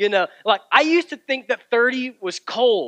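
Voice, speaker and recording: A man's raised, projected voice, bright and sharp in tone, against a quiet background. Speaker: pastor. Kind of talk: sermon. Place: church.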